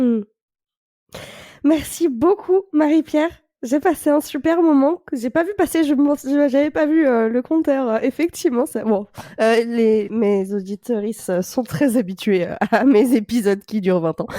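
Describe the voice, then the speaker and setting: In a dry, close sound with no echo, a woman speaks slowly in a high, dark, mellow voice whose pitch swings very widely. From France. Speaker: podcast host. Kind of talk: podcast interview.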